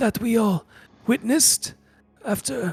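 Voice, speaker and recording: A man puts on a character voice with an extremely high pitch at a moderate pace. Faint music plays in the background. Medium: actual play. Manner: curt, formal, dismissive.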